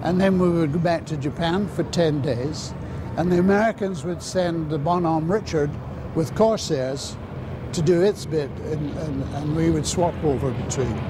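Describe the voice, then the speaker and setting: Noticeable background noise sits behind a man speaking at a moderate pace. His pitch is fairly high, with ordinary variation. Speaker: former naval pilot. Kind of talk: recorded interview recollection. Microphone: lapel.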